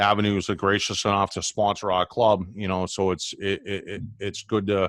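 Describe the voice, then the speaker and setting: Recorded with a dry, close sound with no echo, a plain, everyday voice proceeds at a moderate pace. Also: man. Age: 40s. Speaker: reef club organizer. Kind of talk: casual chat. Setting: video call.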